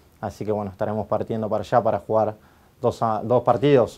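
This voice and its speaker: The voice belongs to a man. Its pitch is medium. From Argentina. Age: 30s. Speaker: futsal coach; futsal team coach. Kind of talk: interview answers. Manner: halting, many fillers. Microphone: lapel.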